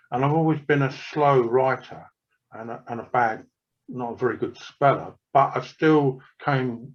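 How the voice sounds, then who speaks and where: A man's voice sits at a medium pitch, with a quiet background behind it. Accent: English. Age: 70s. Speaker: author. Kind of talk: casual chat.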